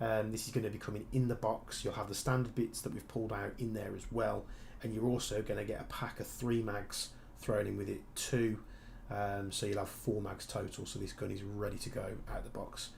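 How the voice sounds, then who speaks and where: A man's fairly low voice with vocal fry, monotone, flat intonation and a fairly quick pace, set in audible room echo. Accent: strong Birmingham. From Birmingham, England. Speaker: airsoft gunsmith and streamer. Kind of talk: live stream chat and Q&A. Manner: casual, many fillers and restarts.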